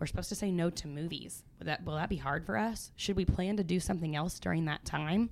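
The speaker talks at a fairly quick pace with an American accent. There is vocal fry, and the pitch varies in an ordinary way. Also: woman, very clean recording, silent background. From US Midwest. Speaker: family ministry leader. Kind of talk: casual chat.

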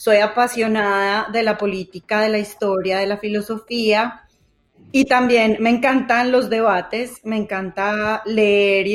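A woman with a Colombian paisa accent, her pitch fairly high and her intonation fairly even. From Colombia, Manizales. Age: 40s. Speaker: podcast co-host, journalist. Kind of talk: casual chat. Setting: remote call over internet.

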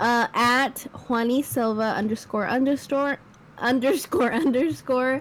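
Noticeable background noise runs under this clip. A woman speaks in a fairly high voice with ordinary pitch variation. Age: 20s. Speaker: podcast co-host. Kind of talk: casual chat.

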